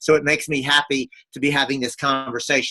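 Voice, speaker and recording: This man's tone sounds bright and sharp. His pace stays moderate. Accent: Texan. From rural Texas. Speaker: lawyer and activist. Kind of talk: webinar presentation. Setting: webinar from family reunion in Texas. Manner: hesitant with many fillers.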